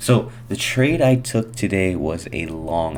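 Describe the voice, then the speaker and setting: A man's voice with lively intonation over noticeable background noise. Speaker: day trader sharing market recaps. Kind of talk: screen-share trading tutorial. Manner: fast; casual.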